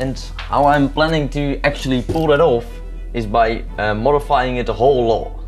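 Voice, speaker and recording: A man talks at a moderate speed. Music sits faintly behind him. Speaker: maker vlogger. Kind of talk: casual vlog chat. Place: home room.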